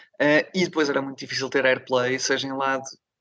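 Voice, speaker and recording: Very fast and in a bright, sharp tone, a man speaks at a medium pitch with monotone, flat intonation. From northern Portugal, Barcelos (Minho). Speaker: rock singer and guitarist. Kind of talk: interview.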